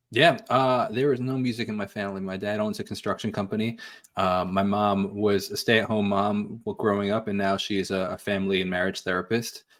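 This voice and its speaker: With a slight New York accent, a man talks at a fairly quick pace with hardly any pauses, his fairly low voice held to fairly even intonation. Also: very clean recording, silent background. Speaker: musician. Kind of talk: interview conversation. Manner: halting, many fillers.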